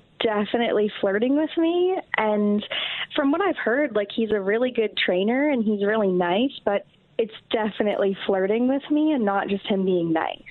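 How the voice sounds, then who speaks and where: Her pitch is fairly high, and this woman speaks at a moderate pace with an American accent. Her intonation is lively, and her loudness stays very even. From Cleveland area, Ohio. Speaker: caller. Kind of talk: call-in confession on morning radio.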